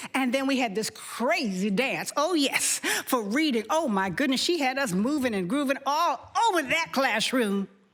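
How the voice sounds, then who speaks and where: A woman talks at a moderate pace with a high pitch, an animated tone and lively intonation, hardly pausing at all. Her loudness stays very even against noticeable background noise. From Harlem, New York. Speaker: storyteller. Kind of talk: personal storytelling on stage. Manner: animated, expressive.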